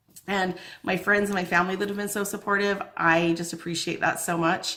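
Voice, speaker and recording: A woman talks at a fairly quick clip in an animated, bright and sharp tone. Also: medium pitch for a woman. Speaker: lifestyle vlogger. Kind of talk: casual chat. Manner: fast.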